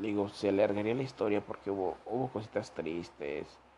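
A man with a Mexican accent speaks in a dark, mellow tone. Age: 20s. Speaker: podcaster. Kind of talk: personal storytelling monologue. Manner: casual, profane.

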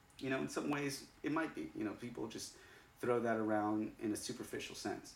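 Audible room echo hangs around a man's voice. His intonation is lively. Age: 30s. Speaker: podcast host. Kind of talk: casual chat. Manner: animated.

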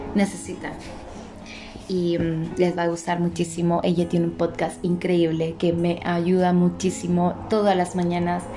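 Noticeable background noise runs under a woman's fairly low voice. She speaks at a fairly slow pace in a flat monotone. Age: 30s. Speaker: podcast host. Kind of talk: casual monologue. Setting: living room at home. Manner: halting.

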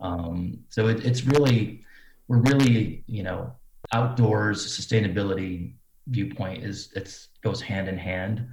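A man's fairly low, somewhat breathy voice with an American accent, at a very slow pace with ordinary pitch variation. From US Midwest, Cedar Rapids Iowa. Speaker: fashion designer. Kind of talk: interview.

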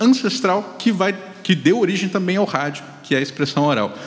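Noticeable background noise runs under the speech. The pitch swings very widely. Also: man. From Brazil, Mato Grosso do Sul. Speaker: communication professor. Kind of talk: panel discussion.

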